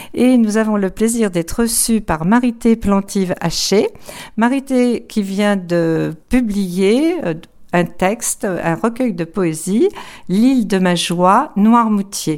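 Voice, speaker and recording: Here a woman talks at a very slow pace. Her pitch is medium, with ordinary variation. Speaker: interviewer. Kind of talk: casual interview.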